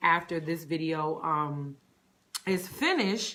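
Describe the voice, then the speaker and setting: A woman with a bright, sharp tone, a northern US accent and fairly even intonation. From Connecticut, US Northeast. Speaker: personal stylist. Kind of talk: live stream chat. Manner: casual, many fillers.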